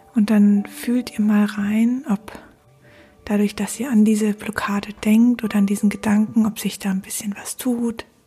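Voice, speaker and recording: A woman's fairly high, calm, soothing voice, monotone and flat, at a fairly slow pace with music in the background. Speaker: podcast host guiding a meditation. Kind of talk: guided meditation. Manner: slow, calm and soothing, with long pauses.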